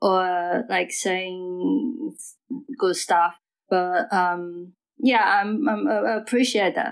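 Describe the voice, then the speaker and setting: Speaking at a very slow pace with a Mandarin accent, a woman keeps her loudness very even. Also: medium pitch for a woman, ordinary pitch variation. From Taiwan. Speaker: DJ. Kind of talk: casual interview chat. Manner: halting.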